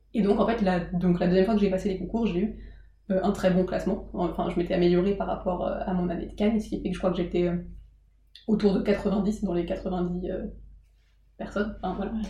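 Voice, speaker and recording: Delivered at a fairly quick pace, the monotone, flat speech comes with audible room echo. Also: woman. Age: 20s. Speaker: former prep-class student. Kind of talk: casual interview. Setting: in the host's home.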